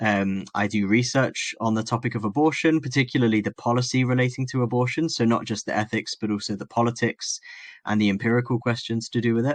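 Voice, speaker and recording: A man with an English accent, medium-pitched, at a very fast pace with fairly even intonation, in a dry, close sound with no echo against a quiet background. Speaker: philosophy academic and medical doctor. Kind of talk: podcast interview.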